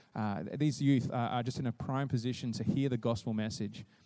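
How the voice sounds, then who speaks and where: A man talks in an Australian accent. His intonation stays fairly even. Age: 30s. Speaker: youth pastor. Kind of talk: church presentation. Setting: stage with audience.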